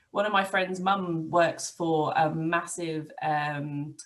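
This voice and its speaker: With an English accent, a woman speaks at a fairly low pitch with ordinary pitch variation. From England. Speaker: IT business owner. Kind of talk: podcast interview.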